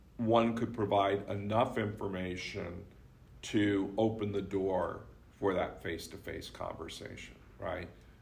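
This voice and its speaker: Speaking very slowly and somewhat breathily, a man with a fairly low pitch keeps a fairly even intonation amid audible room echo. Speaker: communication professor. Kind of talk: casual book discussion. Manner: projects less strongly.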